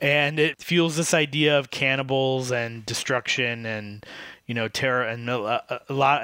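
On a very clean recording with a silent background and a dry, close sound with no echo, a man with an American accent speaks fairly slowly at medium pitch, with ordinary pitch variation and a bright, sharp tone. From Michigan. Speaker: podcast co-host. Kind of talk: casual chat.

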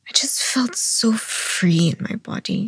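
A woman talks at a very slow pace with lively intonation in a somewhat breathy voice. The sound is dry and close with no echo. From Philippines. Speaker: somatic practitioner and movement artist. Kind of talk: casual interview chat.

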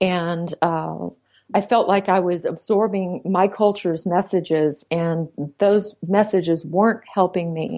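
At a fairly slow pace, a woman with a dark, mellow tone speaks at medium pitch with fairly even intonation. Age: 40s. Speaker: psychologist and relationship author. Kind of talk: interview.

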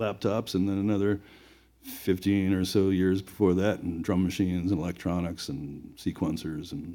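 With a dark, mellow tone and fairly low pitch, a man speaks at a moderate pace and with fairly even intonation in a very clean recording with a silent background. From Rhode Island, Providence. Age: 50s. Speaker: electronic reggae musician. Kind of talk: casual interview. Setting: music venue recording.

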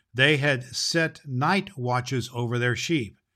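The tone is bright and sharp, on a very clean recording with a silent background. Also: man. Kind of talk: audiobook-style Bible reading. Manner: slow, gentle, warm, reverent reading; formal storybook cadence, unhurried.

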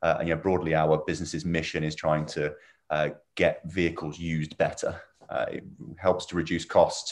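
Delivered at a moderate pace in a southern English accent, the speech has a monotone, flat intonation. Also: man, very deep, low pitch for a man. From England, Milton Keynes. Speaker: startup founder. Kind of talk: interview. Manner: hesitant, many fillers.

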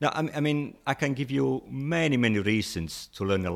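A man talks with an Italian accent. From Italy. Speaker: language teacher. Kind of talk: interview.

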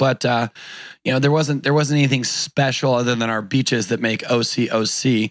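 A plain, everyday voice: a man at medium pitch, fairly quick pace and ordinary pitch variation, on a very clean recording with a silent background. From Orange County, California. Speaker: entrepreneur and conference organizer. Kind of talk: casual interview chat.

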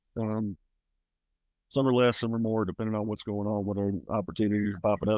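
A man with a Southern US accent talks at a very fast pace in a fairly low pitch, with monotone, flat intonation and long, frequent pauses. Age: 30s. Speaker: country singer. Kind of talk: casual chat. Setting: outdoors.

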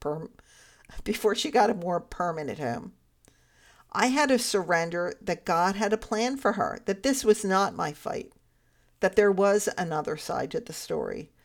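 A woman talks at a moderate pace in a normal speaking voice, her medium pitch carried by lively intonation. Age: 60s. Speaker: faith podcast host and life coach. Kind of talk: faith-based storytelling monologue. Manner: laughs often while speaking.

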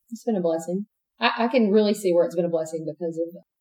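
A woman talks at a very fast pace. Her pitch is fairly low. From East Texas. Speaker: married guest sharing her marriage story. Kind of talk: interview.

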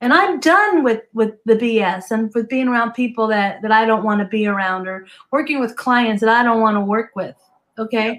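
A woman with an American accent and an ordinary speaking voice talks at a moderate pace in a fairly high pitch with ordinary pitch variation. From US Northeast. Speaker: business and success coach. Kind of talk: casual interview chat.

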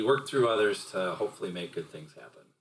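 A man's voice over noticeable background noise. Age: 50s. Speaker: podcast guest, host's father. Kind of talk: casual chat.

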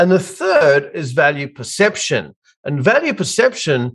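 Speaking with an Australian accent, a man has a fairly high-pitched voice. The background is quiet. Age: 50s. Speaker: business coach for accounting firms. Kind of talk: casual interview.

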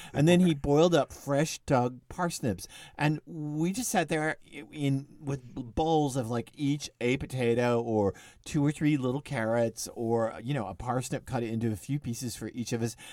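A man speaks in a dark, mellow tone. The recording is very clean, with a silent background. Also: medium pitch for a man, ordinary pitch variation. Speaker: cookbook author podcast host. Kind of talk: casual podcast chat. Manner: fast talker.

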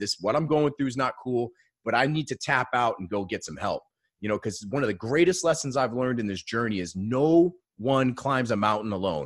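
A man with an American accent speaks in a normal speaking voice at a medium pitch, with lively intonation and a fairly quick pace. The recording is very clean, with a silent background. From Maine, US. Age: 30s. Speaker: business coach. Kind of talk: casual interview chat.

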